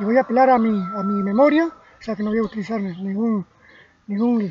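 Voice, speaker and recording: A man with high pitch and ordinary pitch variation talks over noticeable background noise. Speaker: amateur history lecturer. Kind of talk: spoken history lecture from memory. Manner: slow, deliberate; halting, repeats words.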